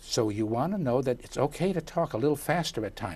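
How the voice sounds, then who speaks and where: A man with an American accent speaks in a somewhat breathy voice with lively intonation. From US Midwest, Chicago. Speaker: communications coach. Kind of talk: interview. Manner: animated.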